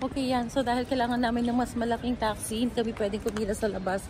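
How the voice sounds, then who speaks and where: A woman with a fairly high pitch talks at a fairly quick pace, with audible room echo and noticeable background noise. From Philippines. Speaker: travel vlogger. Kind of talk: travel vlog narration. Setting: airport.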